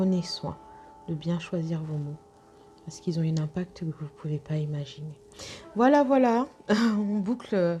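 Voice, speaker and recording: A woman speaks at a fairly slow pace with a dark, mellow tone and a fairly low pitch. Her voice is somewhat breathy, with ordinary pitch variation. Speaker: intuitive guide and sophrologist. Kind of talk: spiritual guidance talk to viewers. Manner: soft-spoken; hesitant, many fillers.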